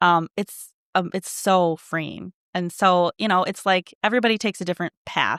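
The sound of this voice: On a very clean recording with a silent background and a dry, close sound with no echo, a woman speaks at a moderate pace with a fairly low pitch, a fairly bright tone and ordinary pitch variation.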